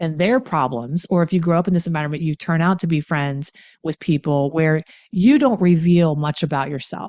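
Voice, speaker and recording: Speaking at a moderate pace with an American accent, this voice shows ordinary pitch variation. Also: woman. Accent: Appalachian, comes out at times. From Appalachia, Pennsylvania near West Virginia. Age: 50s. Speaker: coach and author on addiction. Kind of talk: talk to viewers on healing. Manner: casual, animated.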